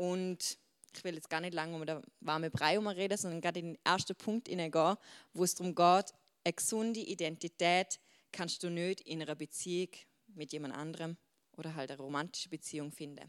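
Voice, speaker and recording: Fairly low-pitched female speech, animated and fairly quick, with big swings in loudness and a dry, close sound free of echo. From Switzerland. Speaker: youth preacher. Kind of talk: sermon.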